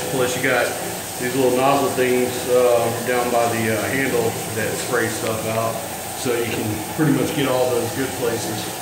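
At a fairly slow pace, a man speaks in a room with audible echo and noticeable background noise. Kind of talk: casual vlog tour. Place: bathroom. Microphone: phone near.

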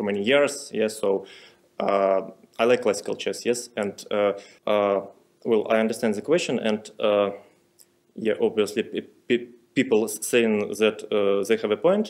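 Against a quiet background, the speech moves at a fairly slow pace with long, frequent pauses. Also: man. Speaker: interviewee. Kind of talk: interview answer. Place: hall. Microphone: podium.

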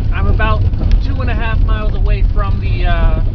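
Loud background noise runs behind a man speaking at a moderate pace. The sound itself is dry with no echo. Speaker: road-trip vlogger. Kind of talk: casual vlog chat. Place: car. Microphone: phone near.

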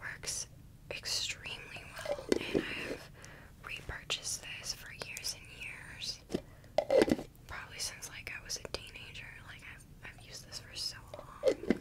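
A whispering woman at a fairly slow pace, with big swings in loudness. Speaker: ASMR content creator. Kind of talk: ASMR whispered trigger video, casual talk to camera. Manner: soft-spoken, whispering. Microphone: studio mic.

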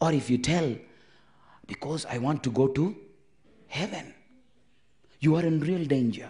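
Somewhat breathy and dark, mellow in tone, a man's fairly high voice moves at a moderate pace with ordinary pitch variation and long, frequent pauses. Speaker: preacher. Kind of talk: call-and-response sermon, explaining commandments with everyday marriage example. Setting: church camp meeting, also streamed online. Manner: interactive, prompting congregation for amens; earnest, reiterating points to clear confusion. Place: tent. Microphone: handheld.

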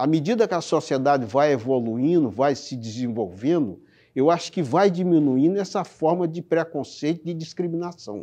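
A man speaks at a moderate pace with hardly any pauses, his fairly high pitch carried by lively intonation and a dark, mellow tone against a quiet background. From Brazil, Ceará (Sobral, rural sertão); Ceará, Brazil. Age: 60s. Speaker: court employee. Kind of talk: testimony. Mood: reflective, earnest. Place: studio. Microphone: lapel.

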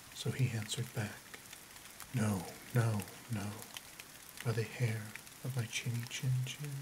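Amid noticeable background noise, a soothing voice goes at a fairly slow pace with long, frequent pauses. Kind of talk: bedtime story reading aloud, ASMR. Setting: quiet recording with rain and thunder sounds in background. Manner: soft-spoken, slow and soothing.

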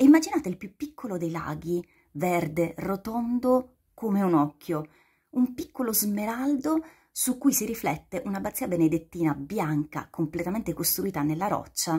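A woman with a medium pitch and a dark, mellow, somewhat breathy tone speaks at a moderate pace. Her pitch swings very widely against a quiet background. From Basilicata, southern Italy. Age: 40s. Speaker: guest. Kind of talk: short video appeal. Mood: warm, enthusiastic. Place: home room. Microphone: phone near.

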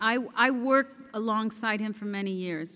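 A woman is talking. Her pitch rises and falls in an ordinary way. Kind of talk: gala acceptance speech. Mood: warm, grateful. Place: hall. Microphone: podium.

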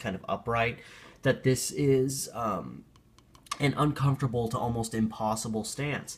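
The pace is moderate. There is a somewhat breathy quality to the voice. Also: man. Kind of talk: casual vlog commentary. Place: home room. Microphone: phone near.

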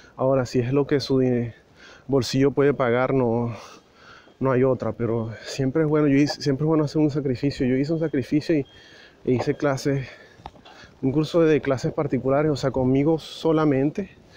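A man talks with long, frequent pauses, fairly even intonation and very even loudness. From Venezuela. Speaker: immigration vlogger. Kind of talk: walking vlog monologue. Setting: outdoors, walking on the street. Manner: casual, hesitant with fillers.

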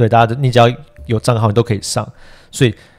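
A man speaks at a medium pitch. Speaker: political podcast co-host, editor-in-chief. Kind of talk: casual political chat. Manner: energetic, full-voiced today.

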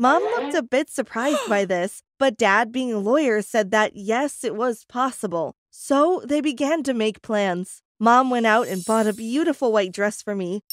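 A woman with an ordinary speaking voice, fairly high in pitch and lively in intonation, at a moderate pace, in a dry, close sound with no echo. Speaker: storyteller. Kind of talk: dramatic first-person storytelling narration.

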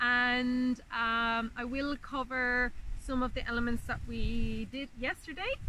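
A woman speaks at a high pitch with a bright, sharp tone and monotone, flat intonation at a very slow pace. The sound is dry with no echo, with light background noise. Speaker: herbalist teacher. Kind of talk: guided meditation. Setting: outdoors. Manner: soft, slow, calming, hushed, with long pauses; warm, inviting. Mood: calm, gentle, meditative. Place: open country.

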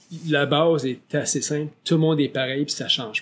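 A man speaks at a fairly slow pace with ordinary pitch variation. He has a plain, everyday voice. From Quebec. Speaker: podcast host and real estate agent; podcast host. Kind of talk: interview. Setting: studio. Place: studio. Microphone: studio mic.

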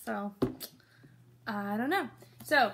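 Against noticeable background noise, a woman speaks in a somewhat breathy voice. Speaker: book vlogger. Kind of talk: casual vlog chat. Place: home room. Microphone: phone near.

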